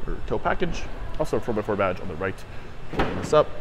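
Music plays in the background as a man talks at a fairly quick pace. His pitch is fairly low, and his intonation is lively. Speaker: car salesperson. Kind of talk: product walkaround tour. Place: shop. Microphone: phone near.

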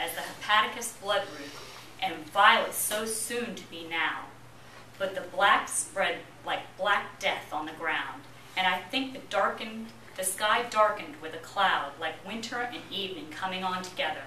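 A woman speaks at a moderate pace with ordinary pitch variation and big swings in loudness. Audible room echo and light background noise come through. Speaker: speaker. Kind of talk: poetry reading to an audience. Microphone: camera far.

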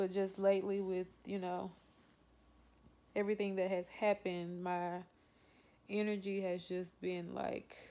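A woman's medium-pitched voice with a Southern US accent, fairly slow and monotone with flat intonation. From Louisiana. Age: 20s. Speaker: vlogger. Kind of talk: casual talk to camera. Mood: low, subdued, reflective. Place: home room. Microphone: phone near.

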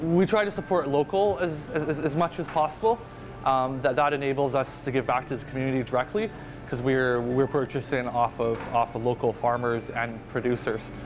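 A man's voice at a fairly quick pace, with ordinary pitch variation and clear music in the background. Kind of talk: interview answer. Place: cafe.

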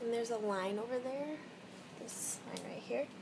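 The voice has ordinary pitch variation, with noticeable background noise behind it. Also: woman. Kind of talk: casual vlog chat. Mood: upbeat, chatty. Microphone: phone near.

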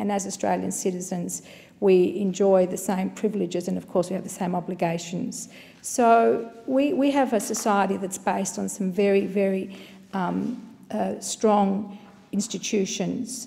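A woman speaks at a moderate pace, her pitch moving up and down in an ordinary way. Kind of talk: parliamentary speech. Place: hall. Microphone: podium.

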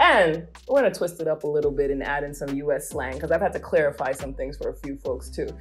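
Someone with an American accent talks at a very fast pace with hardly any pauses. Faint music plays in the background. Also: woman. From United States. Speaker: travel vlogger host. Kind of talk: casual talk to camera. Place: home room.

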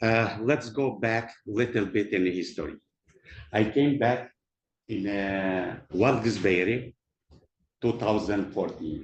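With a non-native accent, the speaker goes at a very slow pace with ordinary pitch variation. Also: man. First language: not English. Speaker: property developer. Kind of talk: public comment at council meeting. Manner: halting.

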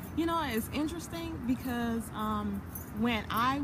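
A woman with an American accent speaks over noticeable background noise. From US Virgin Islands. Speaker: actress and entrepreneur. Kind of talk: casual interview. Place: garden. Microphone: phone near.

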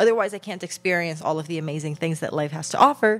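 A woman is speaking. Faint music plays in the background. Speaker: podcast host. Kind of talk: casual podcast advice talk. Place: home room. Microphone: handheld.

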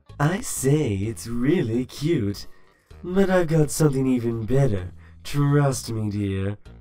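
This man puts on a character voice at a medium pitch. He delivers it at a fairly slow pace. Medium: fan dub. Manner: flirtatious, sultry, dramatic.

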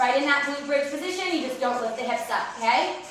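A raised, projected voice moves at a moderate pace through strong room echo, with faint music in the background. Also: woman. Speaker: fitness instructor. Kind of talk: workout coaching cues. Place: home room.

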